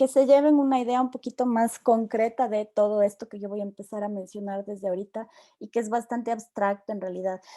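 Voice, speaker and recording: A woman with an ordinary speaking voice talks at a fairly quick pace and a fairly high pitch, her intonation fairly even. Her loudness swings widely, and the sound is dry and close with no echo. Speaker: university lecturer. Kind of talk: online lecture.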